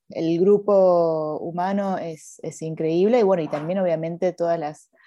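Against a quiet background, a woman with a fairly low pitch and a dark, mellow tone talks at a moderate pace with fairly even intonation. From Argentina. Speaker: film director. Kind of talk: interview.

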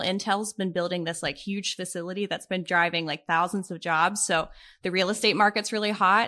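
A bright, sharp voice with an American accent at a fairly quick pace, hardly any pauses, and ordinary pitch variation over a quiet background. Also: woman. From Pittsburgh, Pennsylvania. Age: 20s. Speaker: side hustle content creator. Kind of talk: podcast interview.

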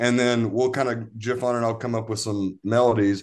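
The background is quiet as a man speaks at medium pitch. His pace is fairly quick. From East Tennessee, near Knoxville. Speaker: musician. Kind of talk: casual chat. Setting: video call. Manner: halting.

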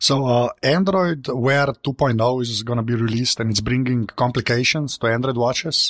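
Recorded dry and close with no echo, a man speaks at a medium pitch with hardly any pauses. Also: ordinary pitch variation, moderate pace. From Slovenia. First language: Slovenian. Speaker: tech journalist. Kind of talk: casual panel discussion.

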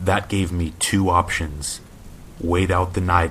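A man's very deep, low voice at a fairly slow pace, monotone and flat in intonation. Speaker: guest narrator reading submitted stories. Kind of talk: hushed, suspenseful ghost story telling read aloud in first person. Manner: slow, tense, creeping delivery building dread.

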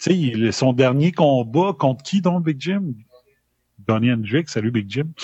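In a Quebec accent, a man speaks at a very slow pace with a medium pitch. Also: lively intonation. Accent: Québécois French. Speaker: former radio host. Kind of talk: live podcast chat.

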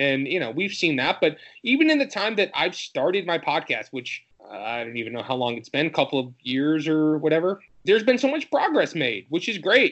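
In an American accent, a man speaks at a fairly quick pace, fairly high in pitch with very wide pitch swings. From Michigan. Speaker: sports podcaster. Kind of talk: casual chat.

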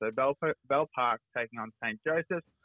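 The man has an Australian accent and ordinary pitch variation. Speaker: local footy journalist. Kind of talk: sports report.

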